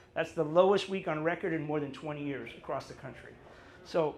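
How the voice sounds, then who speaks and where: Talking at a very fast pace with fairly even intonation, a man with a fairly high voice is heard amid audible room echo. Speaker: real estate agent. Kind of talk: presentation to audience. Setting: live event in a cafe with audience.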